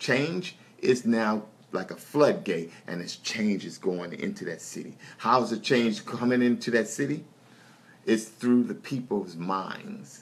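The pitch swings very widely and the loudness rises and falls sharply. The pace is fairly slow. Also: man. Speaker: minister praying. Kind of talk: fervent prayer. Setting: online video prayer session. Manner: fervent, call-and-response. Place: home room. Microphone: phone near.

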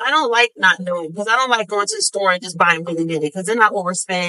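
Her tone is bright and sharp, and this woman's pitch varies in an ordinary way.

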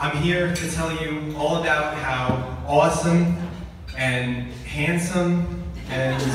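Strong room echo and noticeable background noise surround a man's voice. He speaks very slowly with fairly even intonation. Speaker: best man giving wedding toast. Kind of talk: best man toast and roast, joking wedding speech to a room of guests. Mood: warm, humorous, heartfelt. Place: hall. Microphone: pa.

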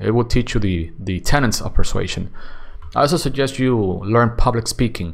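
With vocal fry, a man talks at a moderate pace using ordinary pitch variation. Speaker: YouTube content creator. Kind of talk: solo Q&A monologue.

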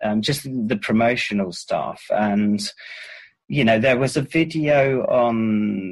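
In a quiet setting, a man speaks in a fairly low pitch with ordinary pitch variation. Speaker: songwriter and musician. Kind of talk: interview. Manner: reflective, hesitant with many fillers. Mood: reflective, calm. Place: garden. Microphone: video call.

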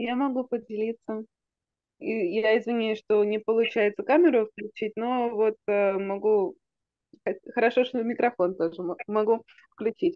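With long, frequent pauses, a woman speaks at a fairly high pitch with ordinary pitch variation, in a dry sound with no echo over a quiet background. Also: fairly slow pace. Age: young. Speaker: medical student. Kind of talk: casual chat. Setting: video call. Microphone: video call.

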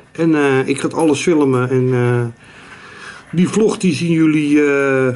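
Here a man talks with a Rotterdam accent. His pitch is fairly high and his pace fairly slow. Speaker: streamer, vlogger. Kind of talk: casual talk to camera. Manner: hesitant, many fillers. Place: home room. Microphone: phone near.

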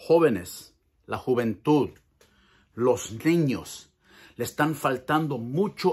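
In an animated tone, a man with a fairly high pitch speaks with lively intonation. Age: 50s. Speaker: pastor. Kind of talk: motivational talk; casual vlog chat. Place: garage. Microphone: phone near.

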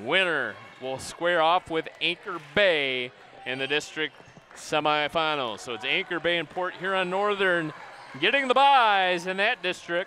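A man's high-pitched voice at a fairly slow pace, with lively intonation, a dry sound free of echo and light background noise. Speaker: sports broadcaster. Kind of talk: sports commentary. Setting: high above the gymnasium, broadcasting a live game. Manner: upbeat broadcaster tone, rattling off stats and scores. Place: hall.

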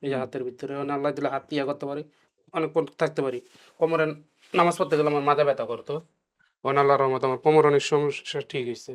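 The man's voice sits fairly high. It stays monotone and flat throughout. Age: 40s. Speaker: patient. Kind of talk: patient testimony. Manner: halting.

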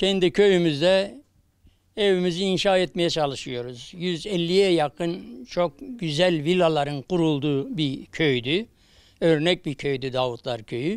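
On a very clean recording with a silent background, a man talks very slowly at a high pitch with lively intonation. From Turkey, Kahramanmaraş. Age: 70s. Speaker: returned emigrant, earthquake survivor. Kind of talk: news interview.

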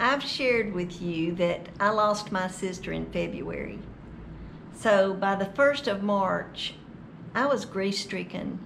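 Light background noise accompanies a woman speaking at a very slow pace with ordinary pitch variation. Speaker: vlogger. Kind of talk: casual vlog chat. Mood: sad, reflective storytelling. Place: home room. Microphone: webcam.

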